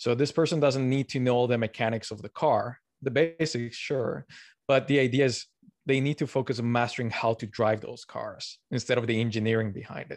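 Against a quiet background, a man with a Spanish accent speaks at a fairly quick pace in a medium pitch with fairly even intonation. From Colombia. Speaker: learning science blogger. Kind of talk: interview.

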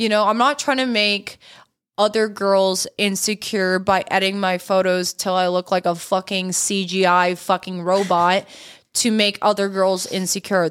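Fairly slow and fairly even in intonation, a woman speaks in an ordinary speaking voice. The recording is very clean, with a silent background. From Canada. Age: 20s. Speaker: content creator. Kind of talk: casual chat.

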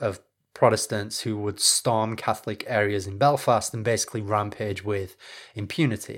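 Slow and measured, this man speaks at a fairly slow pace. He has a northern English accent and medium pitch. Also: very clean recording, silent background. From northern England, Leeds. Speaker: history podcast host. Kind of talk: scripted narration.

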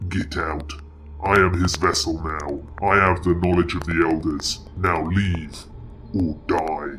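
Putting on a character voice, a man speaks in a very deep, low pitch with a menacing tone at a fairly slow pace over clear background noise. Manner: menacing, mad.

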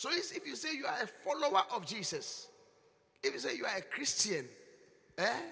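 With a Ghanaian accent, a man uses a raised, projected voice at an extremely high pitch, bright and sharp in tone, with very wide pitch swings and long, frequent pauses. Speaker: bishop preacher. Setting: church service with live congregation. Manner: teasing, chiding the congregation with laughter and repeated words; emphatic and repetitive, rising into loud intercessory prayer.

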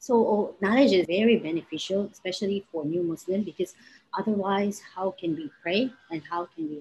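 Lively intonation runs through a dark, mellow tone. The pace is moderate. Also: woman. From Philippines. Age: 30s. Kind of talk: interview testimony.

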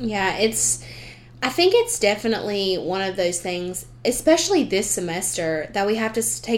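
With a Southern US accent, a woman talks at a moderate pace and a medium pitch. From US South. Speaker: student podcast host. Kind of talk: casual chat.

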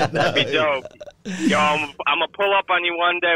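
A man speaks at a moderate pace with ordinary pitch variation in a plain, everyday voice. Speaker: caller. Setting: phone.

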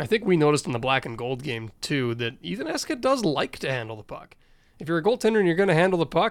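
A man's high-pitched voice with very wide pitch swings at a very fast pace. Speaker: team radio broadcaster, co-host. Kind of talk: casual podcast chat.

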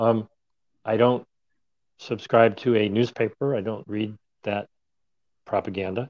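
A man speaks at a fairly slow pace with a fairly low pitch and fairly even intonation, leaving long, frequent pauses, in a dry, close sound with no echo. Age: 60s. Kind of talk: casual chat. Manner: hesitant, many fillers.

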